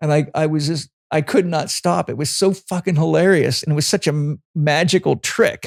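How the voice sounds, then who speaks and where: Animated man at a fairly high pitch and moderate pace with hardly any pauses, dry and close with no echo, in a very clean recording with a silent background. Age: 60s. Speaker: holistic health coach and trainer. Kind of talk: casual interview chat.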